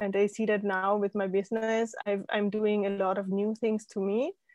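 Someone speaks with a German accent at a moderate pace over a quiet background. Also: woman. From Austria. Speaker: life coach and former scientist. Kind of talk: interview.

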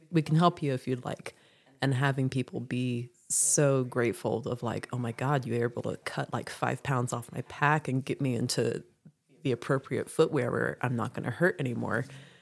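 The woman's voice sits very deep and low, with fairly even intonation. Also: moderate pace, very clean recording, silent background. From South Louisiana. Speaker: hostel owner and thru-hiker. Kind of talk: casual interview.

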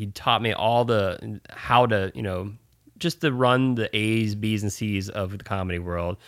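This man has a plain, everyday voice with a fairly low pitch and ordinary pitch variation. The recording is very clean, with a silent background. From US (Navy family, moved often). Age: 40s. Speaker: comedy booking agent. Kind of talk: casual interview chat.

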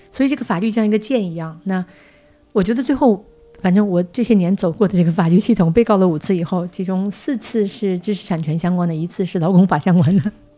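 A woman rattles along very fast with clear background noise in the recording. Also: medium pitch for a woman, ordinary pitch variation. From Northeast China. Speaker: podcast host, publisher. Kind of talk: casual interview chat.

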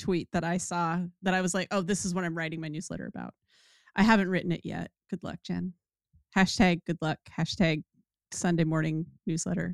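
In a very clean recording with a silent background, the voice has vocal fry and a monotone, flat intonation, broken by long, frequent pauses. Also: woman, fairly low pitch for a woman, fairly quick pace, dry, close sound with no echo. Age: 50s. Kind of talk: casual chat. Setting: livestream.

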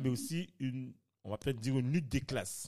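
This man's medium-pitched voice varies in an ordinary way, heard on a very clean recording against a silent background. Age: 30s. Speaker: podcast host. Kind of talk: casual discussion.

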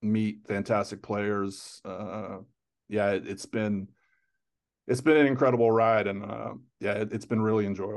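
Here a man speaks at a moderate pace with a fairly low pitch and an unremarkable speaking voice. The background is quiet. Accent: American. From US, South Florida (Fort Lauderdale). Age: 50s. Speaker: soccer journalist. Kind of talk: interview.

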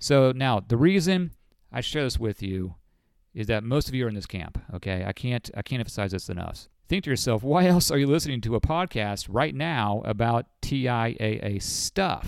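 An unremarkable speaking voice with lively intonation moves at a moderate pace in a very clean recording with a silent background. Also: man, medium pitch for a man. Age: 40s. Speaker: financial advisor and podcast host. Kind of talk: casual monologue. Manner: conversational.

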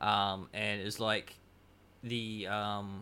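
With an Australian accent, a man speaks very slowly in a bright, sharp tone at a fairly low pitch. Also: very clean recording, silent background. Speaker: podcast guest. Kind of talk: casual chat.

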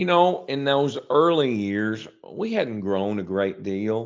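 With an Arkansas accent, a man talks at a fairly slow pace. His pitch is fairly low. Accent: Southern US (Arkansas). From US South, small town in northeast Arkansas. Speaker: grocery chain executive. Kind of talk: interview. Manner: halting, many repeated words and fillers.

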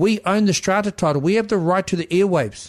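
A man talks with a high pitch. His pitch variation is ordinary. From New Zealand, South Taranaki. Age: 50s. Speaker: Māori land rights advisor. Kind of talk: podcast interview.

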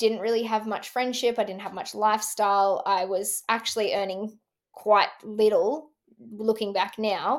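In a very clean recording with a silent background, a woman with an Australian accent speaks at a fairly high pitch and a fairly slow pace, with fairly even intonation. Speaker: entrepreneur and former motocross racer. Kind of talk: interview conversation.

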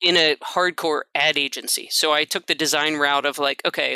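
A woman's bright, sharp tone at a moderate pace, dry and close with no echo, in a very clean recording with a silent background. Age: 50s. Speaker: painter. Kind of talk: casual chat.

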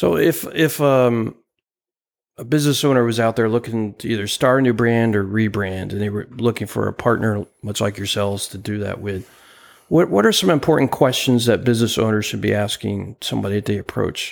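Speaking at a fairly quick pace, a man with an American accent has an unremarkable speaking voice of medium pitch and ordinary pitch variation. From US Northeast (New Jersey). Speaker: podcast co-host and business coach. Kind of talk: interview conversation.

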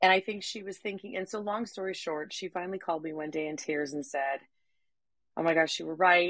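A woman's fairly low-pitched voice shows ordinary pitch variation. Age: 50s. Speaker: podcaster and podcast coach. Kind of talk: casual conversation.

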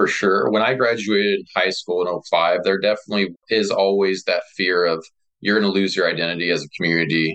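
Speaking at a fairly quick pace with a Midwestern American accent, a man with a fairly low pitch keeps his loudness very even and his intonation fairly even. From rural north central Kansas. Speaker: rural economic developer and brewpub owner. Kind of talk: interview.

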